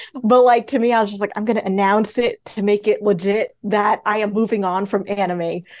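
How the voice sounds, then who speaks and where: A woman's normal speaking voice, medium-pitched, at a moderate pace with fairly even intonation. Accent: American. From New York, Queens and Long Island. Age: 20s. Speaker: animation story artist and graphic novelist. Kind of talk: casual interview chat.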